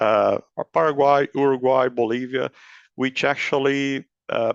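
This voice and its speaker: A man with a Brazilian accent talks at a fairly slow pace in a fairly high, monotone, flat voice, with a dry, close sound, no echo and a quiet background. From southern Brazil. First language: Portuguese. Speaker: agricultural market analyst. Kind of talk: educational talk. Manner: hesitant, with fillers and restarts.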